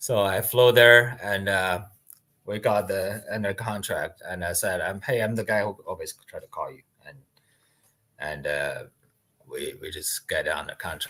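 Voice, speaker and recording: A man with a non-native accent speaks at a fairly slow pace with long, frequent pauses. His loudness swings widely. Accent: foreign. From outside the US. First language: not English. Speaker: land investor. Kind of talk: interview. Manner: halting.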